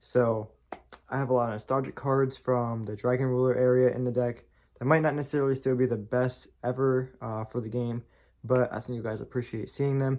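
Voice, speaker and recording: Soft-spoken and at medium pitch, a man talks at a fairly quick pace in a flat monotone. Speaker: YouTuber doing card game deck profiles. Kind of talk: casual tutorial deck profile. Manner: quiet, soft-spoken; casual, repeats words.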